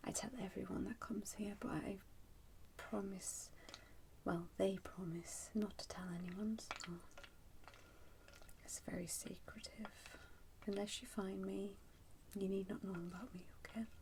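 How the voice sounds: A woman's medium-pitched voice, slightly mellow in tone with vocal fry, fairly even intonation, a fairly slow pace and long, frequent pauses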